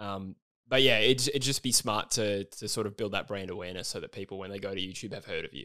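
In a very clean recording with a silent background, a man with a fairly low pitch and a bright, sharp tone talks at a very fast pace, with ordinary pitch variation and big swings in loudness. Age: 20s. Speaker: football YouTuber and podcaster. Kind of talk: casual chat.

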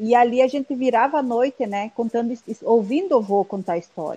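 The woman's fairly high pitch, with ordinary pitch variation, comes through in a dry, close sound with no echo. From Guarani village, northern Rio Grande do Sul, Brazil. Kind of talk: casual chat. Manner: halting.

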